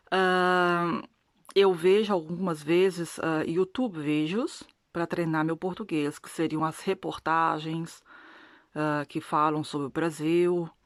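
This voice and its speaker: Speaking at a very slow pace with a non-native accent, a woman keeps a fairly low pitch and fairly even intonation while her loudness swings widely. The recording is very clean, the background silent. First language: not Portuguese (speaking Portuguese). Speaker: religious video blogger. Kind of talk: testimony. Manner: halting.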